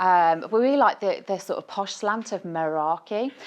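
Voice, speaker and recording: A woman with a Birmingham accent, medium pitch and lively intonation, at a moderate pace against a quiet background. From Birmingham, England. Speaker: nutritionist. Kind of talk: conference talk. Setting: stage with audience. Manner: animated.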